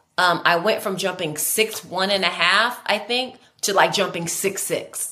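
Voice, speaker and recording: Audible room echo surrounds a woman of medium pitch who speaks at a fairly slow pace in a bright, sharp tone with ordinary pitch variation. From California, San Luis Obispo area. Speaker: Olympic high jumper. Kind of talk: casual interview. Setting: video call. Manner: animated.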